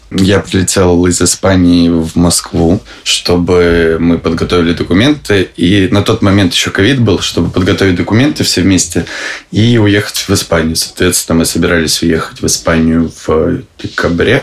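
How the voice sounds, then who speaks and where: Against noticeable background noise, a man with a very deep, low pitch talks at a moderate pace, his loudness very even and his pitch varying in an ordinary way. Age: 20s. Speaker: husband of a political prisoner. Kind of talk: interview.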